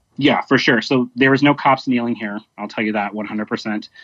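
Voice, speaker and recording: In an ordinary speaking voice, a man with an American accent talks at a moderate pace and a medium pitch. The sound is dry and close with no echo, over a quiet background. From Dallas area, Texas. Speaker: protest participant, activist. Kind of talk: interview. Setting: phone or video call.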